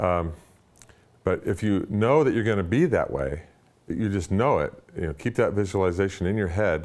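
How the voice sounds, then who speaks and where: With a fairly low pitch and ordinary pitch variation, a man speaks at a moderate pace. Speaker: weight loss client giving a testimonial. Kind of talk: testimony. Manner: halting, with repeated words. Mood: upbeat, enthusiastic. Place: home room. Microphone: lapel.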